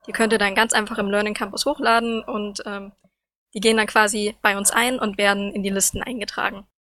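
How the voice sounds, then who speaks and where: Flat, monotone delivery in a bright, sharp tone at a fairly quick pace. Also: woman, fairly high pitch for a woman. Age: 20s. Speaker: student representative. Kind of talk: casual news chat.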